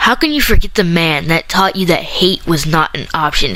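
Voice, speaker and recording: Noticeable background noise sits behind speech that keeps a moderate pace and ordinary pitch variation. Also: woman. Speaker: spoken word poet. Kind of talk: slam poetry reading.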